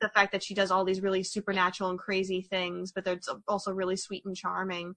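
A woman's medium-pitched, bright, sharp voice, very fast and monotone, in a dry, close sound with no echo. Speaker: podcast host discussing anime films. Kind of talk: casual chat.

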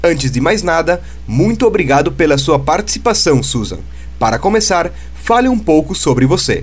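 Loudness stays very even while a man talks at a moderate pace. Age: 20s. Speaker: podcast host, youth group member. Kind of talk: scripted interview.

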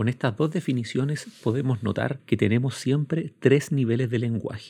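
Somewhat breathy, with a dark, mellow tone, a man speaks with ordinary pitch variation. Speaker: law professor. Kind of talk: lecture. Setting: recorded at home during quarantine.

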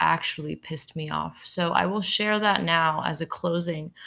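A woman speaks in a fairly low pitch with an unremarkable speaking voice. The recording is very clean, with a silent background. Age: young (19). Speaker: podcast host. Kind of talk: solo podcast monologue. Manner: many filler ums.

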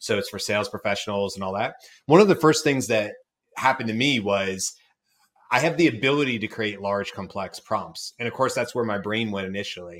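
Here is a man with an American accent and a normal speaking voice. He speaks fairly low and fairly quickly, with ordinary pitch variation. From US South, Georgia. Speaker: podcast host. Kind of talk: interview.

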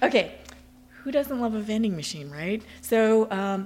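A woman with a normal speaking voice, fairly slow and lively in intonation. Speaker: shop owner. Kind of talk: interview.

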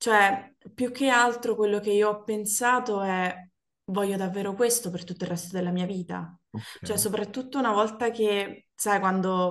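A woman's unremarkable speaking voice, pitched at a medium level, fairly even in intonation, at a moderate pace. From Naples, Italy. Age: 30s. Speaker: former office worker. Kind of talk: casual chat.

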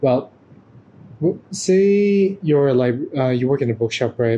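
A man with a dark, mellow, somewhat breathy tone talks at a moderate pace. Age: 20s. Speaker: podcast guest, photographer and performer. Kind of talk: casual chat.

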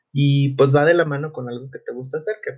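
Here a man speaks in a somewhat breathy voice. His intonation is fairly even. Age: 20s. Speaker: psychologist, podcast host. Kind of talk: solo podcast monologue. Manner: hesitant, many fillers.

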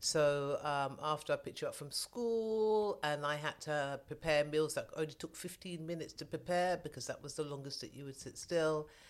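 This woman has a very deep, low pitch and a London accent, with big swings in loudness. She talks at a moderate pace with ordinary pitch variation and hardly any pauses. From southwest London. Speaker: mother of host. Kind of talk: casual interview.

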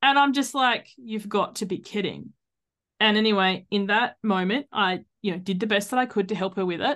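A woman in an Australian accent speaks at a moderate pace, her medium pitch showing ordinary variation. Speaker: life coach and podcaster. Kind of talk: casual interview chat.

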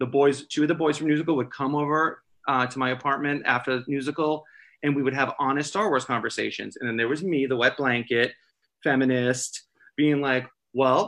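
Talking at a fairly quick pace, a man with a normal speaking voice sits at a fairly high pitch. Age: 40s. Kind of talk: casual chat.

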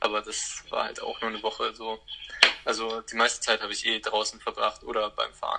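Fairly quick male speech with noticeable background noise. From Germany, Hamburg. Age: 20s. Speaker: van traveller. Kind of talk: casual interview chat. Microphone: transmission problems.

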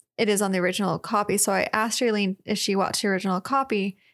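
On a very clean recording with a silent background, a woman speaks at medium pitch in an unremarkable speaking voice. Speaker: podcast co-host. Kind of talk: casual chat.

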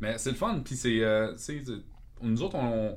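There is audible room echo around this man's voice. He speaks at a fairly quick pace and a medium pitch. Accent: Quebec. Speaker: metal guitarist. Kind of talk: casual chat.

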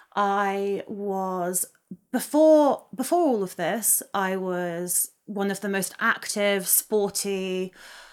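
A southern English accent with ordinary pitch variation, on a very clean recording with a silent background. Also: woman. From England, Oxfordshire countryside. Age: 20s. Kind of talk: casual interview.

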